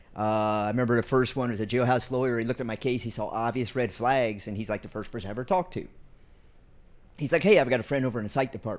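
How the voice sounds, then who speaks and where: An American-accented man talks at a very fast pace with a medium pitch and ordinary pitch variation. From US Midwest. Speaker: college prison education advocate. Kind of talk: panel discussion.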